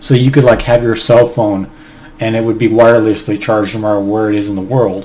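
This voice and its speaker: A man with an American accent speaks at a medium pitch and a fairly quick pace, in fairly even intonation. Noticeable background noise is present. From United States. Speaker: YouTuber discussing personality types. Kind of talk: casual monologue video. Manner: hesitant, with fillers and restarts.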